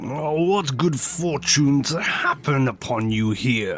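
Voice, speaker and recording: Using a put-on character voice, a man talks fairly slowly at a fairly high pitch. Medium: actual play. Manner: guarded, melancholic.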